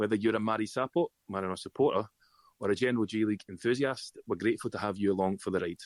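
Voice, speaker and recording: A man with a Scottish accent speaks at a very fast pace. His voice is fairly low with ordinary pitch variation, and the sound is dry and close with no echo. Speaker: podcast host. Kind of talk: scripted intro; podcast chat.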